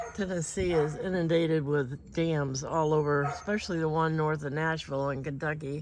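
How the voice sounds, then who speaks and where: Very deep, low female voice at a moderate pace with hardly any pauses and fairly even intonation, with audible room echo and noticeable background noise. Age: 70s. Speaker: small farmer and vlogger. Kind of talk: casual vlog monologue. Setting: in a car.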